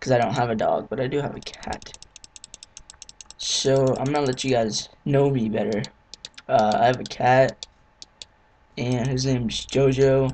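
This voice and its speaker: Background noise is clearly audible throughout. The delivery is fairly slow, broken by long pauses that come often. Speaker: gaming video creator. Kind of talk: let's play commentary. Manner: casual, hesitant with many fillers.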